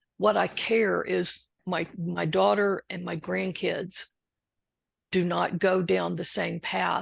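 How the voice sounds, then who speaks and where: At a very slow pace, a woman with an American accent talks over a quiet background. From Texas. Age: 60s. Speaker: recovering alcoholic and author. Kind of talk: interview testimony.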